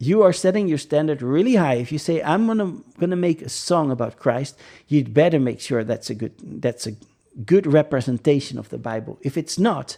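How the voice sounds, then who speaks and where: A man's fairly high voice with a Dutch accent, fairly quick and lively in intonation, on a very clean recording with a silent background. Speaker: religious podcast host. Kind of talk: casual monologue. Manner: halting, many fillers.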